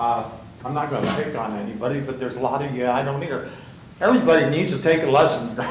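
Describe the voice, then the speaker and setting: A man's fairly high voice at a fairly quick pace, with noticeable background noise and audible room echo. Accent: American. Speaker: resident speaking at public comment. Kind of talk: public comment. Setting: city hall council chamber. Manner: loud.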